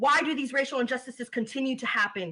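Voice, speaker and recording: A high-pitched woman with an American accent, her voice raised and projected. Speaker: spoken word poet. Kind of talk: spoken word poetry performance.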